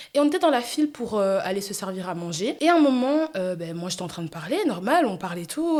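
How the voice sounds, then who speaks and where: With noticeable background noise behind her, a woman speaks loudly in an animated tone, her pitch swinging very widely. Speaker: podcast host. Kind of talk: casual solo podcast monologue.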